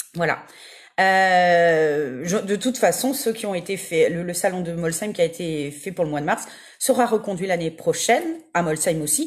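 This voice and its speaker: Her tone enthusiastic, a woman speaks at a fairly low pitch and a moderate pace with ordinary pitch variation on a very clean recording with a silent background. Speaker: medium. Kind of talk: livestream casual talk. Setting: Facebook live video. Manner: many fillers (euh).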